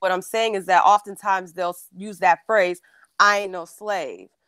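The woman's medium-pitched voice keeps a monotone, flat intonation and a moderate pace, with a dry, close sound and no echo. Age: 20s. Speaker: caller. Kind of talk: call-in discussion. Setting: video call.

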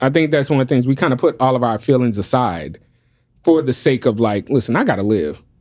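A man with a New Orleans accent speaks at a medium pitch and a fairly quick pace. The recording is very clean, with a silent background. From New Orleans, US. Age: 40s. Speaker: podcast host. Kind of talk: casual chat.

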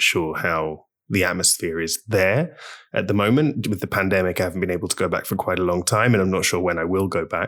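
Speaking at a fairly quick pace with a London accent, a man has a very deep, low pitch and ordinary pitch variation on a very clean recording with a silent background. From London, England. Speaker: polyglot and language journalist. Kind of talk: interview conversation. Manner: hesitant with frequent fillers.

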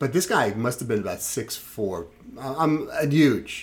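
A medium-pitched man with a New York accent, lively intonation and a fairly slow pace. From Brooklyn, New York City. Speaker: podcast co-host. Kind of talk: casual chat.

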